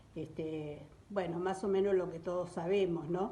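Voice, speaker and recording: Speaking at a fairly slow pace and medium pitch, a woman keeps her intonation fairly even amid audible room echo. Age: 70s. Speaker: witness sharing memories. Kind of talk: testimony.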